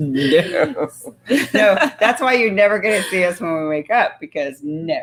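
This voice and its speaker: In an animated tone, a woman speaks fairly slowly at a medium pitch with very wide pitch swings. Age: 50s. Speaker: talk show host. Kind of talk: casual chat.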